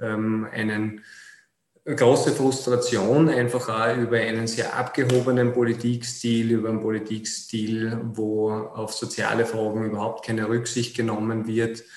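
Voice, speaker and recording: A man speaks in a monotone with flat intonation, at a medium pitch and a fairly slow pace. Room echo is audible. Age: 30s. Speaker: city councillor and politician. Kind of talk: interview.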